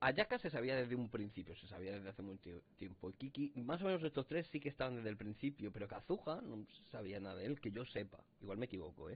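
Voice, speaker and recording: A somewhat breathy male voice at a very fast pace, with lively intonation. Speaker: gaming youtuber. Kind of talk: let's play commentary; casual gameplay commentary. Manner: casual, rambling with filler words. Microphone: distorted audio in parts; headset.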